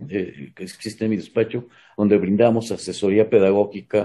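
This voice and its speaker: A man's dark, mellow tone comes at a moderate pace. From Mexico. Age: 60s. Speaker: retired pedagogy professor. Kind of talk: interview.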